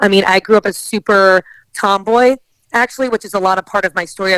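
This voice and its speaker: In a strong New Jersey accent, a woman talks at a fairly quick pace, the sound dry and close with no echo. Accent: heavy New Jersey. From northern New Jersey. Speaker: athlete and entrepreneur. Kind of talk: podcast interview.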